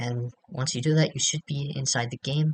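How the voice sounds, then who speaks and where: With a dry, close sound and no echo, a man speaks at a moderate pace in a somewhat breathy voice with fairly even intonation. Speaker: game modder. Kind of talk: software tutorial. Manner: casual, hesitant.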